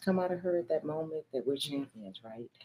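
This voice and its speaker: Her tone is dark and mellow as the woman talks. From Michigan. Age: 50s. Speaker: pastor. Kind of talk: casual chat.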